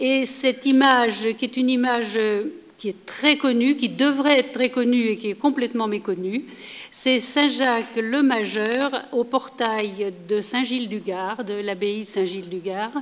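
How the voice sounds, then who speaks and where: The speech runs at a fairly slow pace with ordinary pitch variation. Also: woman, fairly high pitch for a woman. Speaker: historian, lecturer. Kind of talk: lecture.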